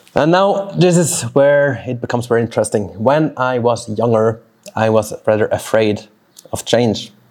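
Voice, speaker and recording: Lively intonation marks this man's speech, delivered at a moderate pace with a medium pitch in a Swiss German accent. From Switzerland (German-speaking). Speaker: fitness coach and podcast host. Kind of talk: solo motivational podcast monologue. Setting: outdoors in a backyard, birds and dogs audible.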